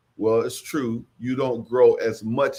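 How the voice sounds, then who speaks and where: At a fairly slow pace, a man talks in an unremarkable speaking voice at a medium pitch. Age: 60s. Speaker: farmer and agriculture trainer. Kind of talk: livestream talk.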